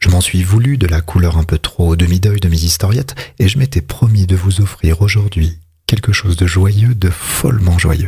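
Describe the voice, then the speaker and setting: Very deep, low male pitch, somewhat breathy, with ordinary pitch variation. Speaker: ASMR reader. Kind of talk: whispered literary reading. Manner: whispered, soft-spoken.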